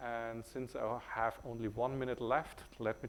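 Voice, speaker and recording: A man with a German accent at a medium pitch. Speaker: tech company CEO. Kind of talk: conference talk. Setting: stage with audience. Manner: many fillers (uh, um).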